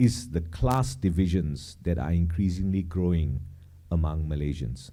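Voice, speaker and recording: Amid audible room echo, a man with a very deep, low pitch and a dark, mellow tone talks at a fairly slow pace. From Malaysia. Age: 50s. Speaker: cultural commentator. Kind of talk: public talk. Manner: halting, many fillers.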